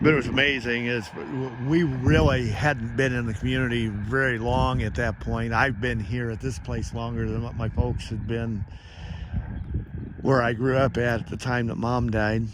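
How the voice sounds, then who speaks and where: Noticeable background noise and audible room echo surround a man with an American accent speaking at medium pitch and a moderate pace with fairly even intonation. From US Midwest, Indiana. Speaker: devotional vlogger. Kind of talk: devotional monologue. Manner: casual, folksy.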